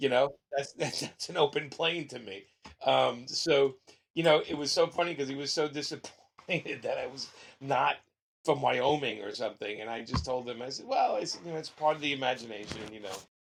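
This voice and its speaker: A man's fairly high, fairly quick voice in a strong Brooklyn accent, with vocal fry, big swings in loudness and ordinary pitch variation. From Brooklyn, New York. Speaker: comic book writer. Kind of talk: interview. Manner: rough-sounding.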